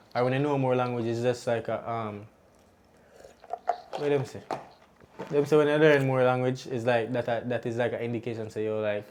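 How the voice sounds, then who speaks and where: Using a Jamaican accent, a man of medium pitch talks at a fairly quick pace in a monotone, flat intonation, with long, frequent pauses. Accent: Jamaican, speaks patois. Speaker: podcast co-host and young parent. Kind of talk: casual chat.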